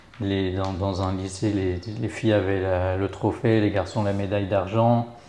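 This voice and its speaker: Speaking fairly slowly in a flat monotone, a man with a fairly low pitch and a dark, mellow tone is heard with audible room echo. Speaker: rugby club volunteer and web business owner. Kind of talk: interview.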